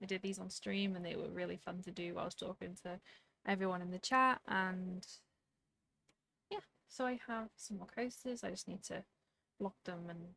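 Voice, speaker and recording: A woman speaks at a medium pitch and moderate pace, with a bright, sharp tone and fairly even intonation. Her long, frequent pauses come through in a dry, close sound with no echo. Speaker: knitting podcaster. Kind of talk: casual talk to camera. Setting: home room with fan noise.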